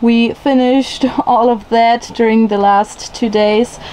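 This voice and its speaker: Light background noise sits behind the recording. A woman speaks at a high pitch. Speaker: travel vlogger. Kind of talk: casual vlog chat. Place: boat. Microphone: phone near.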